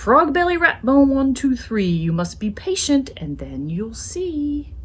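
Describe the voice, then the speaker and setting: A woman's put-on character voice, high-pitched and fairly slow, over light background noise. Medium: read story. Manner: grand, old-fashioned politeness.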